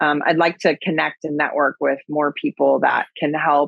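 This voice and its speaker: A woman talks with a Wisconsin accent. Her pace is moderate. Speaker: agriculture advocate and keynote speaker. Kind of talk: podcast interview. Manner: casual, with many fillers.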